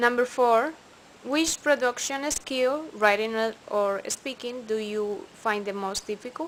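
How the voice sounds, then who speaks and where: A woman speaks at a fairly slow pace with a Spanish accent. Her voice sits high in pitch. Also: ordinary pitch variation. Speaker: English student. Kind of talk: recorded class assignment answers. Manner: halting, with fillers.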